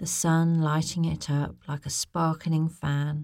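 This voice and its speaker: The voice moves at a very slow pace with a soothing, gentle tone. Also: woman. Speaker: bedtime story narrator. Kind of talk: guided visualisation bedtime story. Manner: slow, soothing, gentle; soft-spoken, lulling, repetitive.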